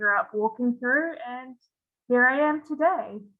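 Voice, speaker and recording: A woman speaks in an enthusiastic tone at a fairly quick pace. Her pitch is fairly high. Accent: New Zealand. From New Zealand. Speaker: PhD student, freshwater ecologist. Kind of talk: panel self-introduction.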